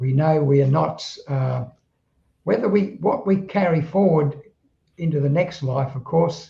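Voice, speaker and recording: A man's dark, mellow, somewhat breathy voice at a very slow pace, with lively intonation. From southeast London, England. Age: 80s+. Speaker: spiritual author. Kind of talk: interview conversation. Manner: halting, with repetitions.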